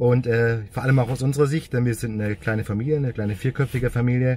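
A man talks at a fairly quick pace in a somewhat breathy voice with a dark, mellow tone and ordinary pitch variation. The sound is dry with no echo, over light background noise. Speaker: car vlogger. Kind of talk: casual vlog chat. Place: car. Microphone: phone near.

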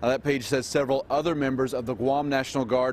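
Light background noise behind a man's dry voice, without echo. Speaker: tv news reporter. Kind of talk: news report. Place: street. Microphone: handheld.

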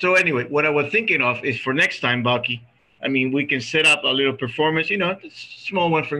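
A man talks at a fairly quick pace with a Spanish accent. His intonation is lively. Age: 50s. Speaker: reunion organizer; reunion host. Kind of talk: casual chat. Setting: video call. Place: home room. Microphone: video call.

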